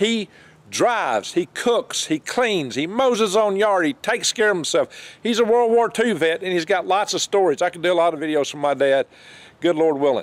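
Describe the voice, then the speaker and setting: In a Southern US accent, a man with a high pitch and lively intonation speaks at a moderate pace, the sound dry and close with no echo on a very clean recording with a silent background. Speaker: homesteader. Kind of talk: casual talk to camera. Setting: outdoors.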